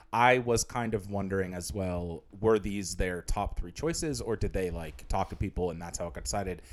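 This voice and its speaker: This man has a normal speaking voice, a fairly low pitch and a fairly quick pace. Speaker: podcast co-host. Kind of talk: casual chat.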